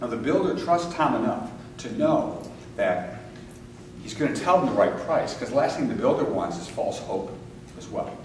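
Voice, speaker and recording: A man at a moderate pace with long, frequent pauses and big swings in loudness, amid audible room echo and noticeable background noise. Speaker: real estate coach and seminar speaker. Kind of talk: live seminar talk. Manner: animated.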